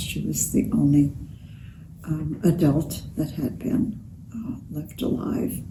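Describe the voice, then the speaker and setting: Someone speaks at a very slow pace in a space with audible room echo. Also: woman. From Romania. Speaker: Holocaust survivor. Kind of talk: interview testimony. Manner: halting.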